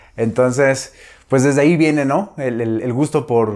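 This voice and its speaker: Over a very clean recording and silent background, a man speaks at a moderate pace with fairly even intonation. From Mexico, Zamora, Michoacán. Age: 30s. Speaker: nutritionist and fitness trainer. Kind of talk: personal storytelling vlog. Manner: halting, many fillers and repetitions.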